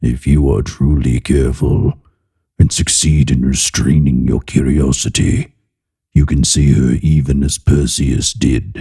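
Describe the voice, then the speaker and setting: In a put-on character voice, the speaker sounds guttural and menacing, with fairly even intonation at a fairly slow pace. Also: man. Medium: read story. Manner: low, menacing, seductive.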